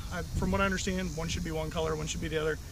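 Light noise sits in the background. A man does the talking. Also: dry sound with no echo. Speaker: fly fishing vlogger. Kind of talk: casual vlog chat. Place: waterside.

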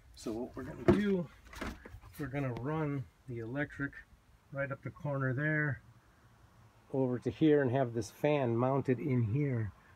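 At a moderate pace with ordinary pitch variation, the speaker leaves long, frequent pauses against noticeable background noise. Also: man. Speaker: vlogger living in a converted bus; bus conversion vlogger. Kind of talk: casual video walkthrough. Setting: inside a bus. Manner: casual, hesitant with fillers. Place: bus. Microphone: phone near.

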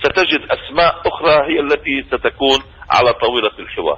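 A man's voice at a moderate pace. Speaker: media center head, political analyst; political analyst. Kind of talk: radio interview, political commentary. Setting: phone call. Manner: emotional. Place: studio.

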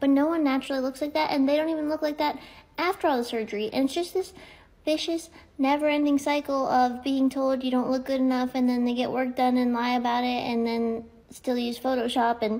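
Her high-pitched voice moves at a fairly quick pace, as this woman keeps her loudness very even and her intonation fairly even. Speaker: social media creator. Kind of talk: casual vlog rant. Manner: casual, chatty, jokey. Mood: annoyed, ranting. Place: home room. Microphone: phone near.

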